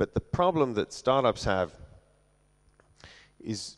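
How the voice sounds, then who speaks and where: A man speaks with an English accent. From London, England. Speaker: venture capital investor. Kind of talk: conference talk.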